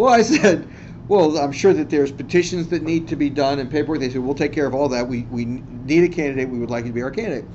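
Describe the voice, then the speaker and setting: A man with an American accent, fairly high in pitch, talking at a very fast pace with ordinary pitch variation and audible room echo. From Washington DC. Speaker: physician and political candidate. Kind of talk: seminar talk. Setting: university classroom. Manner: halting, many fillers.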